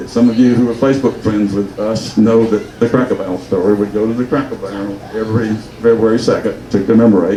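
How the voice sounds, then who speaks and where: A man with an American accent talks at a very fast pace, with hardly any pauses and a monotone, flat intonation. Noticeable background noise and audible room echo fill the recording. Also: medium pitch for a man. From US South, rural Georgia. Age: 70s. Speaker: local businessman speaking at reunion. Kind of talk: personal speech to audience. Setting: luncheon with audience. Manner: halting, with false starts.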